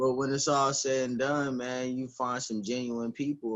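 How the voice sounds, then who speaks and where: An ordinary speaking voice from a man with an American accent, medium pitch and moderate pace. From Junction City, Kansas. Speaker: rapper. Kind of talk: casual interview. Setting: phone call on speakerphone.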